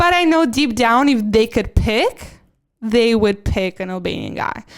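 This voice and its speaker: Against a silent background in a very clean recording, a woman with a normal speaking voice talks at a fairly slow pace, her fairly high pitch carrying lively intonation. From Albania, moved to US at 11. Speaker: podcast co-host. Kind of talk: casual chat.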